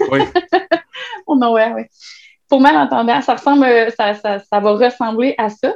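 Pausing long and often, a woman talks at a fairly slow pace with a fairly high pitch and lively intonation. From Quebec, Trois-Rivières. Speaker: web writer and birth doula. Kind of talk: casual interview.

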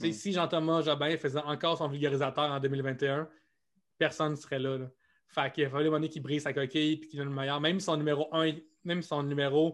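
A man speaks at a fairly high pitch. His intonation is monotone and flat. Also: fairly quick pace. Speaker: comedian. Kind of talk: interview. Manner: fast.

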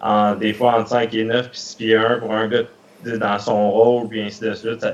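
Delivered at a moderate pace, the speech has monotone, flat intonation. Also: man. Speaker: hockey scout. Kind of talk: interview.

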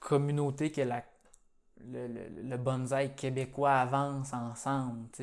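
A man with a medium-pitched voice speaks very slowly in a flat monotone, leaving long, frequent pauses. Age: 20s. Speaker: podcast host, nursery worker. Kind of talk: casual interview.

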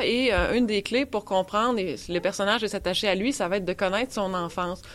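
The woman has an unremarkable speaking voice at medium pitch, with ordinary pitch variation and a fairly quick pace. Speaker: horror author. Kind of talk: panel discussion.

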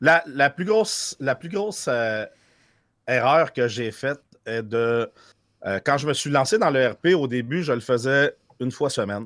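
A man's medium-pitched, lively voice at a fairly slow pace, with long, frequent pauses, in a very clean, silent recording with a dry, close sound and no echo. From France, raised in Quebec. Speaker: streamer. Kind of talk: casual chat.

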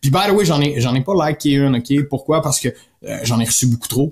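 With a Quebec accent, a man speaks fairly quickly in a somewhat breathy voice with ordinary pitch variation. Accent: Québécois French. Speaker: podcast host, sales coach. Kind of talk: solo podcast talk. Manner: animated.

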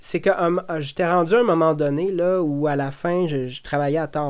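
Using an unremarkable speaking voice, a man talks at a fairly slow pace, his pitch fairly high with ordinary variation. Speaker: ex-environmental activist. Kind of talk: interview.

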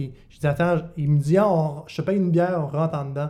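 Fairly quick and somewhat breathy, a man talks at a fairly high pitch with fairly even intonation and a dark, mellow tone. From Quebec, Bas-Saint-Laurent. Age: 20s. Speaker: comedian. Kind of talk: casual chat.

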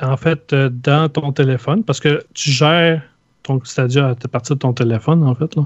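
Against a quiet background, with a dry, close sound and no echo, a man with a Quebec accent speaks fairly slowly in a fairly high, somewhat breathy voice, his loudness very even and his intonation fairly even. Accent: Québécois French. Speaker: video game podcaster. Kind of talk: casual chat.

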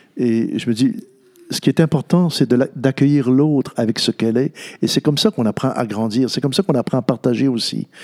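With a Quebec accent, a man speaks at a fairly quick pace in a medium pitch, his tone dark and mellow, his pitch varying in an ordinary way, and the sound dry and close with no echo. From Quebec North Shore, Natashquan. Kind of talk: interview. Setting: church. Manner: halting.

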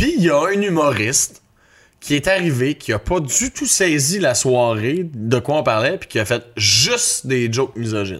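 A fairly high male voice with very wide pitch swings, in a very clean recording with a silent background. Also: fairly slow pace. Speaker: actor. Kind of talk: casual chat.

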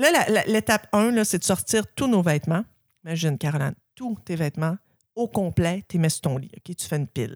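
Speaking at a fairly quick pace, a woman with an unremarkable speaking voice uses a fairly low pitch and lively intonation in a dry, close sound with no echo. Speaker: podcast host. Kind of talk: casual chat.

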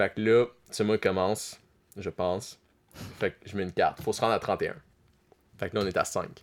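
Talking at a fairly quick pace yet with long, frequent pauses, a man with a fairly low pitch uses monotone, flat intonation. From Quebec, Abitibi. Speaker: podcast guest. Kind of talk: casual chat.

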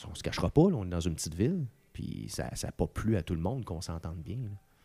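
Speaking in a Quebec accent, a man with a very deep, low pitch and vocal fry moves at a fairly quick pace, his dark, mellow tone swinging very widely in pitch between long, frequent pauses. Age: 40s. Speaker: radio host. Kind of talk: casual chat. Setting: at home.

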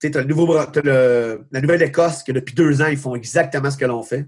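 A somewhat breathy man at a fairly high pitch, with ordinary pitch variation and a fairly quick pace. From Quebec, Magog area. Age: 40s. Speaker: baseball coach. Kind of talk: casual interview. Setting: video call.

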